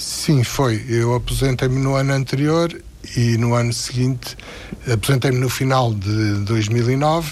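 Through audible room echo and noticeable background noise, a man of medium pitch speaks fairly slowly with fairly even intonation and very even loudness. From Portugal. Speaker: retired philosophy teacher. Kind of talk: radio interview. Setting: studio.

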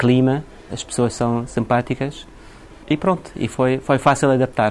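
With noticeable background noise around him, a man's medium-pitched voice holds fairly even intonation. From Iraq, later England. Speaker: shop owner. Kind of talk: interview.

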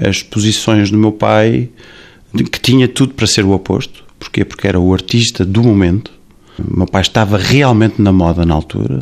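In a normal speaking voice, a man talks at a moderate pace with fairly low pitch and ordinary pitch variation. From Portugal. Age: 40s. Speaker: singer and restaurant owner. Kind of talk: interview.

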